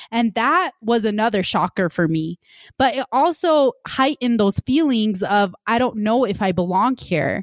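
With an ordinary speaking voice, a woman talks at a moderate pace with fairly high pitch and lively intonation, her loudness very even and the sound dry and close with no echo. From Punjab, India, raised in Utah. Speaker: podcast host, medical student. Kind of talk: casual podcast conversation. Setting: virtual studio, remote recording.

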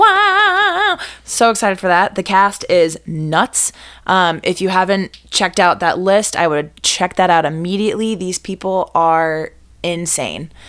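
Her pace is fairly slow, and this woman's pitch sits at a medium level. The recording is very clean with a silent background. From Boston area, US. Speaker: cabaret singer and performer. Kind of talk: casual interview chat.

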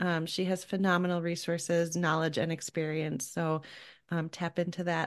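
A fairly low-pitched female voice in a flat monotone at a moderate pace, against a quiet background. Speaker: podcast host and parent coach. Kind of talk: casual interview chat.

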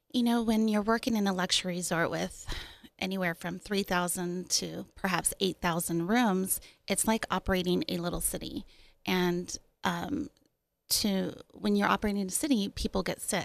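With an American accent, a woman speaks at medium pitch and a moderate pace with ordinary pitch variation, in a very clean recording with a silent background. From Austin, Texas. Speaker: company founder, former hotel concierge. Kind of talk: casual chat. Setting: studio.

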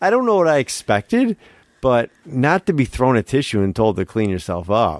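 A man's medium-pitched voice with very wide pitch swings, dry and close with no echo. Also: moderate pace. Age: 40s. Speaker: horror movie podcast co-host. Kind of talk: casual chat.

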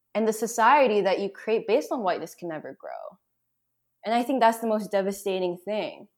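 A woman with an American accent and an unremarkable speaking voice talks at a fairly quick pace and fairly high pitch, with ordinary pitch variation. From Boston. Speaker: writer and activist. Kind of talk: casual chat. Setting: remote call.

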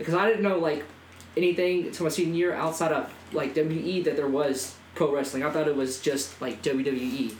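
A man talks with a fairly high pitch and ordinary pitch variation at a moderate pace, with noticeable background noise behind him. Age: young. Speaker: professional wrestler. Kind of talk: casual chat.

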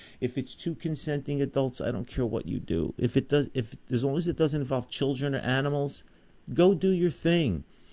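Fairly high in pitch, this man's voice carries a dark, mellow tone. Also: ordinary pitch variation, moderate pace. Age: 60s. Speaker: firearms trainer and radio co-host. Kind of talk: talk radio chat.

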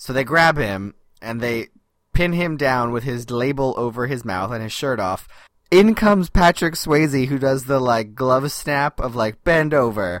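A man with an ordinary speaking voice talks at a fairly slow pace, his medium pitch carried by lively intonation. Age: 30s. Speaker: podcast co-host. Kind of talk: casual chat.

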